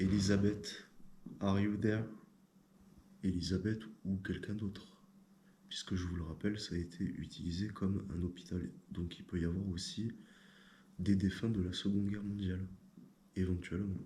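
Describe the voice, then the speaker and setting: A man's very deep, low voice, dark and mellow and somewhat breathy, with monotone, flat intonation, long, frequent pauses and audible room echo. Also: moderate pace. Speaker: paranormal investigator. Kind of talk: casual explanation to camera; voice-over narration. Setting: inside a castle at night.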